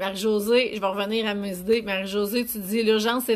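A woman speaks at a fairly high pitch. Her delivery is monotone and flat. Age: 40s. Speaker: business coach. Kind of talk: live stream talk. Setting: online live video broadcast. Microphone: phone near.

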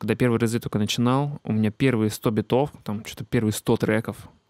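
Over a quiet background, a man talks at a fairly quick pace with medium pitch and fairly even intonation, the sound dry with no echo. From Siberia, Russia (Achinsk); Siberia, Russia. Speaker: beatmaker and music teacher; music teacher. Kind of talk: casual talk to camera. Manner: many filler hesitations. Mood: calm, reflective. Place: home room. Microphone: handheld.

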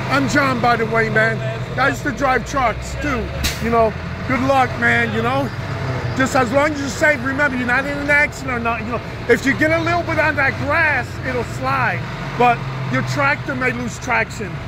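The sound is dry with no echo, though noticeable background noise is present. The pace is moderate. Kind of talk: casual conversation. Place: street. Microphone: phone near.

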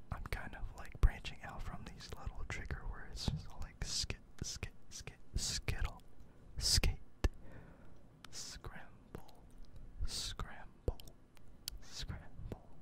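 Whispering at a very slow pace, a man leaves long, frequent pauses between his words. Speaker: ASMR content creator. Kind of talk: ASMR trigger-word whisper video. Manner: soft, repetitive trigger-word whispering with casual chatty asides. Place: home room. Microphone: studio mic.

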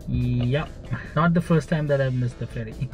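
Behind a man's speech, clear music can be heard. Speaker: travel vlogger. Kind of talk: casual vlog chat. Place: car. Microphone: phone near.

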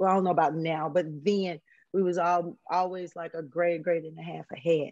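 In a quiet background, a woman with a fairly low pitch speaks in a flat monotone, the sound dry with no echo. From Huntsville, Alabama, US South. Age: 50s. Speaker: former drug dealer sharing life story. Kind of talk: interview testimony. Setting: video call. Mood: reflective, candid. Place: home room. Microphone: video call.

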